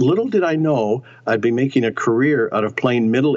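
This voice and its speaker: The man has an unremarkable speaking voice at a medium pitch with ordinary pitch variation. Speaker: actor. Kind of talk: interview.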